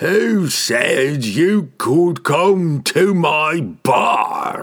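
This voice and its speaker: A man puts on a growling character voice. He speaks very slowly. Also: fairly high pitch for a man. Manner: growling, confrontational.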